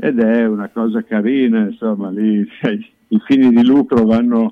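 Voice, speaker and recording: A man talks with a monotone, flat intonation. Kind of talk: casual radio chat.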